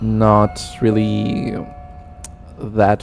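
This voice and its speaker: Against noticeable background noise, a man with a Spanish accent speaks with a fairly low pitch. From Argentina. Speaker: gaming streamer. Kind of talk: live stream chat. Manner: casual, chatty.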